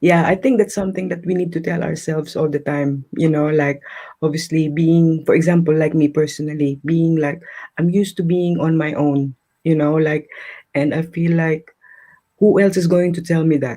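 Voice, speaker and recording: A woman's dark, mellow voice at a fairly low pitch, with fairly even intonation and a moderate pace. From Philippines. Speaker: restaurant manager and single parent. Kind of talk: live interview.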